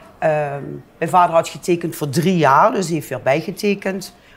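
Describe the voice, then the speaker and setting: A woman with a fairly low voice speaks at a moderate pace with ordinary pitch variation. She has an unremarkable speaking voice. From Netherlands, Limburg (Heerlen area). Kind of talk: interview. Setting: bar.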